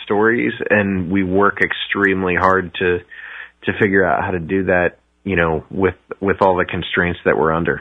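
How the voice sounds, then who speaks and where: This voice carries a Midwestern American accent. It moves at a moderate pace with fairly even intonation. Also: man. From US Midwest. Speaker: documentary filmmaker. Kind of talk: interview. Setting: video call.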